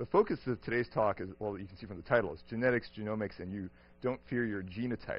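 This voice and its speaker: Speaking at a very fast pace, a man keeps a medium pitch with ordinary pitch variation. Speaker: professor lecturing on a cruise. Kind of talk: lecture. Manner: fast when excited.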